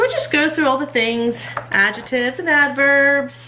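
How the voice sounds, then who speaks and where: A woman's high, raised, projected voice at a fairly slow pace, with ordinary pitch variation, audible room echo and noticeable background noise. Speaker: homeschooling mom and channel host. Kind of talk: casual show-and-tell vlog. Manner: casual with many fillers.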